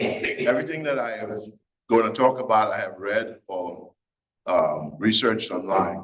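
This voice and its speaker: A man with a Caribbean accent. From Trinidad. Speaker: recovery speaker. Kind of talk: testimony.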